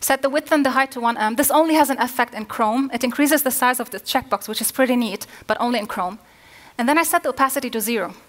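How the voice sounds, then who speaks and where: A woman speaks at a very fast pace. Her voice is high-pitched, with ordinary pitch variation. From Lebanon. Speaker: front-end developer, conference speaker. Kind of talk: conference talk. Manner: halting with fillers.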